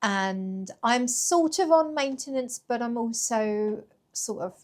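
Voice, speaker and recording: A woman with a British accent speaks with lively intonation. The recording is very clean, with a silent background. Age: 40s. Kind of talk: casual talk to camera.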